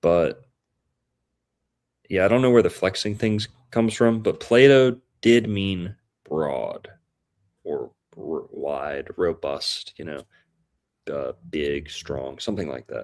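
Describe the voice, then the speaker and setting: In an Appalachian accent, a man talks at a very slow pace with long, frequent pauses and big swings in loudness. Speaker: guest discussing astrology and history. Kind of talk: casual chat.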